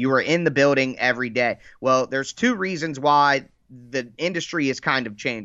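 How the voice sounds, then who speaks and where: With an American accent, a man has a plain, everyday voice, a medium pitch, ordinary pitch variation and a moderate pace. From Dayton, Ohio. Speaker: sports podcaster, Titans fan. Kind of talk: casual sports podcast interview.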